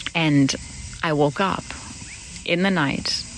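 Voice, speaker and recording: Very slow speech over noticeable background noise. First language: German. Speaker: podcast host. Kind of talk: reflective personal monologue. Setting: outdoors in a paddock with horses. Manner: halting, many false starts.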